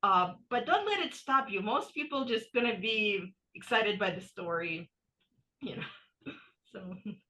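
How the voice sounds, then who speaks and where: A woman with a bright, sharp tone and fairly high pitch speaks in an animated way at a fairly slow pace, her intonation lively, her loudness swinging widely, with long, frequent pauses. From Ukraine (Soviet era), moved to US 1991. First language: Russian. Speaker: author. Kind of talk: casual chat.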